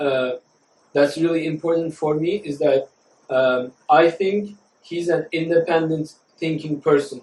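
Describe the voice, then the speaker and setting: With a normal speaking voice, a man with a fairly high pitch talks at a moderate pace with fairly even intonation. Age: 20s. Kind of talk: podcast conversation.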